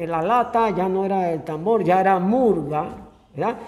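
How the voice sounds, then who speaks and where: The talking goes at a fairly slow pace, and its pitch varies in an ordinary way. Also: man. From Panama, Antón (Coclé). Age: 70s. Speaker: local historian. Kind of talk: interview. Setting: cultural center museum. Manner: casual storytelling.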